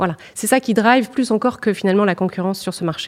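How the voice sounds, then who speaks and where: Very fast speech from a woman, medium in pitch, with ordinary pitch variation. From northern France (Nord, Lille suburbs). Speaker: purchasing director. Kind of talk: interview. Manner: hesitant, many fillers.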